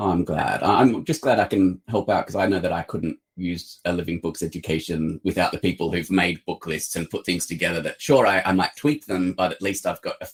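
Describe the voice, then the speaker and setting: In an Australian accent, a man with a very deep, low voice talks at a fairly quick pace with ordinary pitch variation. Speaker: publisher. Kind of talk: interview. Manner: hesitant, many fillers.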